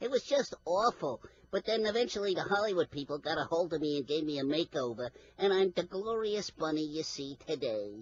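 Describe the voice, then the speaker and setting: The voice is a cartoonish character. Its pitch stays in the middle range. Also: fairly quick pace. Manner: cocky, wisecracking.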